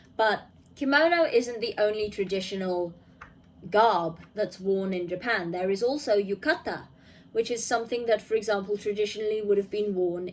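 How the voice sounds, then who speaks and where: Medium-paced delivery in an unremarkable speaking voice, pitch moving in a typical way. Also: woman. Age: 20s. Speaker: gaming YouTuber. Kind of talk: video review commentary. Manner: casual with frequent fillers.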